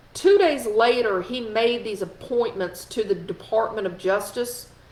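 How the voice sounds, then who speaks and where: There's noticeable background noise behind a woman speaking. Her pitch is fairly high with ordinary variation. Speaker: political commentary host. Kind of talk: live stream political commentary. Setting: live video stream. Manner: animated.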